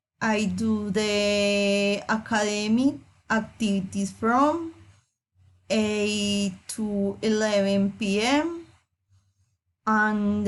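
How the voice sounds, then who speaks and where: Keeping very even loudness, a woman with a Colombian accent speaks at a very slow pace with ordinary pitch variation. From Colombia, Medellín (Antioquia). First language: Spanish. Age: 30s. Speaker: student. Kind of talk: reading aloud.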